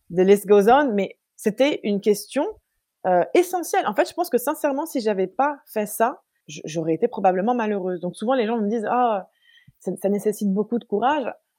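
At a moderate pace, a woman speaks with lively intonation, her fairly high pitch set in a dark, mellow tone. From Paris, then London from age 13. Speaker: olive grower and entrepreneur. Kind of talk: casual interview chat.

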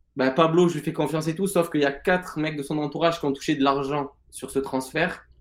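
A man with an unremarkable speaking voice talks at a moderate pace, his pitch fairly high and his intonation fairly even. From Marseille, southern France. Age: 20s. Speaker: fantasy football player and former sports bettor. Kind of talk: interview.

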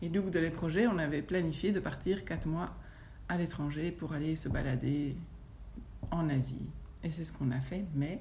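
A woman's fairly low, somewhat breathy voice with a dark, mellow tone, ordinary pitch variation, a moderate pace and audible room echo. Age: 40s. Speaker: yoga teacher. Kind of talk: testimony. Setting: at her home.

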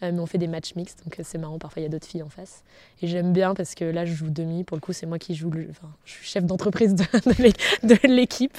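Here is a plain, everyday voice: a woman with a fairly low pitch and ordinary pitch variation. She talks at a fairly quick pace with big swings in loudness. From France, south and Picardy (Senlis). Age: 30s. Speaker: entrepreneur. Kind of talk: long-form interview.

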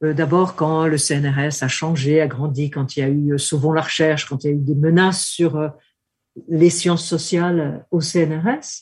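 A woman's very deep, low voice comes through fairly slowly, her intonation fairly even. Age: 70s. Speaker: political scientist. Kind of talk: interview. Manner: hesitant.

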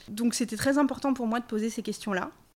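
A normal speaking voice with ordinary pitch variation, on a very clean recording with a silent background. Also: woman. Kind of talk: casual chat.

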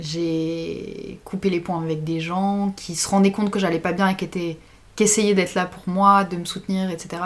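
A woman's medium-pitched voice in monotone, flat intonation at a moderate pace. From France, Grenoble. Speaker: student. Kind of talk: casual chat.

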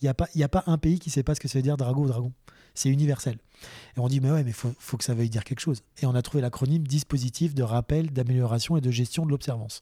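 Speaking at a very fast pace, a man has a medium-pitched, somewhat breathy voice with a dark, mellow tone and fairly even intonation. The recording is very clean, dry and close, with a silent background and no echo. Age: 30s. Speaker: allergist doctor. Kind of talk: casual chat.

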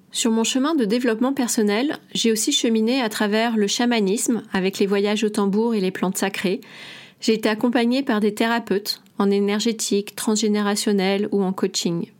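An unremarkable speaking voice from a woman, fairly high in pitch, with fairly even intonation, a moderate pace and very even loudness, on a very clean recording with a silent background. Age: 40s. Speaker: naturopath and podcast host. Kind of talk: solo podcast monologue.

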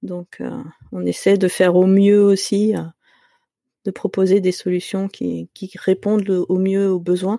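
A woman with a medium pitch and a dark, mellow tone speaks at a very slow pace, the sound dry and close with no echo and the recording very clean over a silent background. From Paris region, France. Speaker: software developer. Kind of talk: casual interview.

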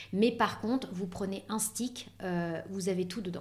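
A woman speaks at a very slow pace. Her pitch sits in the medium range and varies in an ordinary way. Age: 40s. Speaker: beauty industry professional. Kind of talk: interview.

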